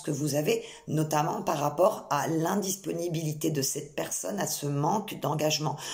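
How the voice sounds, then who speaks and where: Over noticeable background noise and audible room echo, a woman speaks at a moderate pace in a very deep, low pitch with ordinary pitch variation. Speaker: psychic medium. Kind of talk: channelled tarot reading. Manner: hesitant, many fillers.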